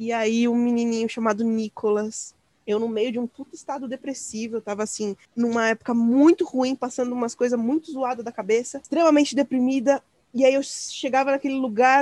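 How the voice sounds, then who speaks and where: Speaking at a fairly quick pace, a woman with a high pitch has a dark, mellow tone in a dry, close sound with no echo. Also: fairly even intonation. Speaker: podcast host. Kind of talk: casual interview chat.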